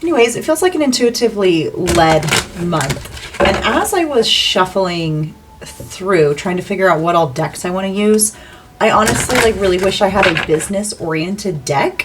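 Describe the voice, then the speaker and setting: Noticeable background noise sits behind a woman speaking at a medium pitch. Her pace is moderate and her intonation lively. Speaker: tarot reader. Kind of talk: tarot reading.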